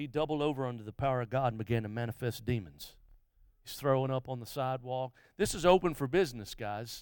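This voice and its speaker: Speaking at a fairly quick pace, a man at medium pitch has an Alabama accent on a very clean recording with a silent background. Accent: Southern US (Alabama). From US South, Mobile, Alabama. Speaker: guest revival preacher. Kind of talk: live revival sermon in church, testimony stories, call-and-response with congregation. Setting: church service with congregation. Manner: impassioned, rhythmic preaching cadence with repetitions and stammered restarts; many filler uhs and repeated words.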